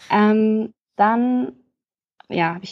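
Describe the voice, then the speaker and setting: A woman talks with a fairly high pitch. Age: 20s. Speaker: podcast guest sharing lived experience. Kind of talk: testimony.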